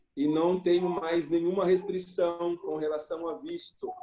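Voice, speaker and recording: Ordinary pitch variation marks this man's fairly high voice, which has a dark, mellow tone. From Brazil, São Paulo state (Jundiaí). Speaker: missionary pastor. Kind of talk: casual chat.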